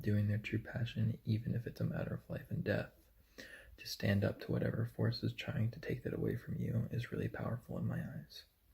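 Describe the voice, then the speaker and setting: The voice is soft-spoken. It moves at a fairly quick pace. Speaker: university student. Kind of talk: reading aloud. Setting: hotel room.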